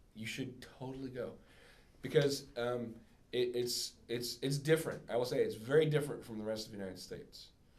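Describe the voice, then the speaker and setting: With audible room echo, a man speaks at a moderate pace and a medium pitch. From US, moved around as military family child. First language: German. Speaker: singer-songwriter. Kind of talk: casual Q&A with students. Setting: classroom with audience. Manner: halting, many fillers.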